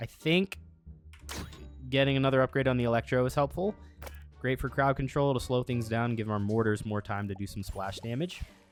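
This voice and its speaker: Over music in the background, a man talks with long, frequent pauses. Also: medium pitch for a man, lively intonation, fairly quick pace. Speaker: gaming YouTuber. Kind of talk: gameplay commentary.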